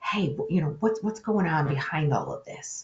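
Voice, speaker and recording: With a plain, everyday voice, a woman speaks at a medium pitch and a moderate pace, her intonation lively. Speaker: webinar presenter on conflict resolution. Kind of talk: webinar presentation.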